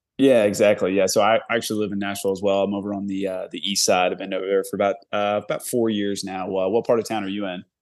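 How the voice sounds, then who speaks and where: Against a quiet background, the speaker rattles along at a very fast pace in a flat monotone with hardly any pauses. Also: man, fairly low pitch for a man. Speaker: podcast co-host. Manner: halting, filler words.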